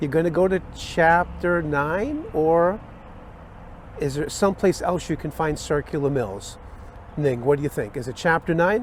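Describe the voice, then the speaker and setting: This is an ordinary speaking voice from a man at a moderate pace. His pitch is fairly high, with ordinary pitch variation. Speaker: electrical instructor. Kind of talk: tutorial.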